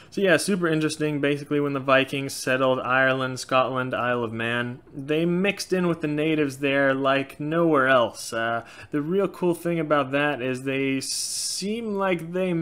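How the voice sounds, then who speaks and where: A man's fairly high voice, with ordinary pitch variation and a moderate pace. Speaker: YouTuber on Norse paganism. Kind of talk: casual Q&A monologue. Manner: frequent filler words, loosely halting. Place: home room. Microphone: webcam.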